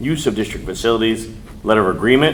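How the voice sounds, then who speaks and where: A man speaks over noticeable background noise. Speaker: school board president chairing meeting. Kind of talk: formal board meeting proceedings. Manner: fast; mumbling at times.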